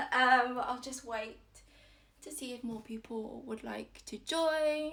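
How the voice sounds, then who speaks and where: A woman talks at a high pitch with lively intonation. Noticeable background noise sits behind her. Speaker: yoga teacher. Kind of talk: guided yoga class. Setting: at home, Instagram live stream. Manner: loud, projected.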